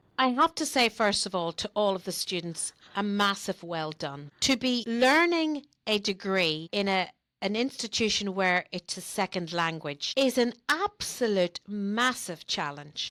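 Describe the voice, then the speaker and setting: A woman's bright, sharp voice with very wide pitch swings, at a fairly slow pace with hardly any pauses, in a dry, close sound with no echo. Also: medium pitch for a woman. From Northern Ireland. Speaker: wellbeing manager and life coach. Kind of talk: podcast interview answer.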